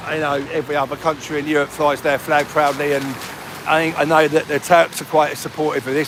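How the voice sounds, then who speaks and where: A man with a Cockney accent talks at a fairly quick pace and fairly high pitch in monotone, flat intonation over noticeable background noise. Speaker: livestreamer. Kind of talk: casual livestream chat. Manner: casual, conversational.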